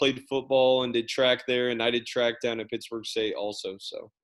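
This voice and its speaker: At a moderate pace, a man of medium pitch speaks with a US Midwestern accent. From Kansas City area. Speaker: teacher and coach. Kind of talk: casual chat. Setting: video call.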